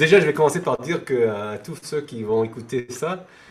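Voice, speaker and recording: Noticeable background noise runs through the clip. A man talks over it at a medium pitch. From France. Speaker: devotee of a temple community. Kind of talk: interview. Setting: video call. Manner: halting, many hesitations.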